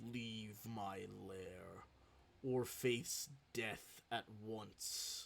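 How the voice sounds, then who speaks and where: A man puts on a character voice, speaking very slowly at a mid-range pitch. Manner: booming, upsetting.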